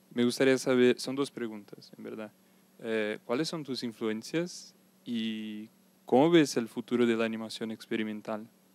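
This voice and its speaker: A man with a Portuguese accent speaks fairly slowly at a medium pitch, his intonation fairly even. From Brazil. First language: Portuguese (speaking Spanish). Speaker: audience member. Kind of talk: audience question. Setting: stage with audience. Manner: halting.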